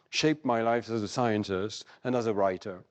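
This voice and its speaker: Against a quiet background, a man speaks in a French accent. He keeps a moderate pace with ordinary pitch variation. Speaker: cognitive psychologist, prize winner. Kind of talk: award acceptance lecture. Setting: stage with audience. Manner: formal.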